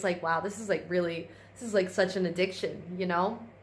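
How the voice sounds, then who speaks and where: Speaking at a medium pitch, a woman is heard with audible echo from the room. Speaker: vlogger. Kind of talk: casual vlog. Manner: rambling with fillers.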